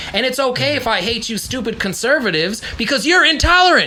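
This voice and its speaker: Noticeable background noise runs under the recording. The speaker talks at a fairly quick pace. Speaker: podcast co-host. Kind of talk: casual chat. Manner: loud; animated.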